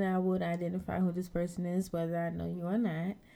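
A woman's dark, mellow tone at medium pitch, at a fairly quick pace. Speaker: beauty entrepreneur. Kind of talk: casual chat.

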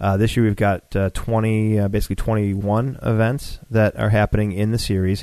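A man with an American accent and a fairly low pitch talks at a moderate pace with hardly any pauses, his loudness very even and his intonation monotone and flat. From Buffalo, New York. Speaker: competition organizer. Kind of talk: casual interview chat.

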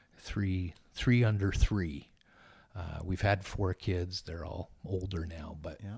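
On a very clean recording with a silent background, a man speaks very slowly in a very deep, low pitch, somewhat breathy, with big swings in loudness. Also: fairly even intonation. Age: 50s. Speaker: charity director and former pastor. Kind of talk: casual interview.

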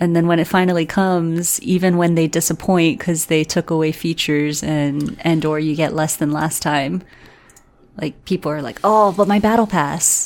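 A woman speaks at a moderate pace in a fairly low pitch with ordinary pitch variation. It is an ordinary speaking voice. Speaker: podcast co-host. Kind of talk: casual chat.

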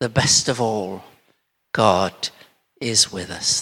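A man puts on a raspy character voice. It sits at a fairly low pitch and moves at a very slow pace.

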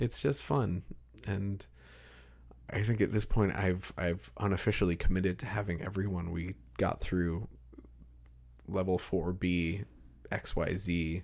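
Speaking at a fairly slow pace with long, frequent pauses, a man with a very deep, low pitch, vocal fry and ordinary pitch variation. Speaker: podcast host. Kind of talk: casual interview conversation. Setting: home studio with pop screens. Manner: measured radio-style cadence.

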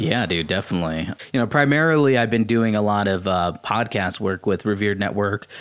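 Over a very clean recording with a silent background, a man in a plain, everyday voice talks fairly quickly at a fairly low pitch, with ordinary pitch variation and very even loudness. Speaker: podcast host. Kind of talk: casual chat.

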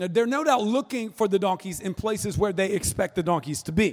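With an American accent, a man speaks at a high pitch with lively intonation in a very clean recording with a silent background. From North Florida. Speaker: pastor. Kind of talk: sermon. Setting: church stage with audience.

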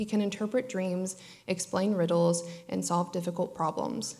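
A woman speaks at a medium pitch. Hers is an unremarkable speaking voice. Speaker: scripture reader. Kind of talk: reading aloud. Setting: church.

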